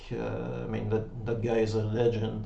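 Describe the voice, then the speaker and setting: A man with a French accent is heard with audible room echo and noticeable background noise. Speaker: website founder. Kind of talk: tutorial. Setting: webcam recording at home. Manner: halting.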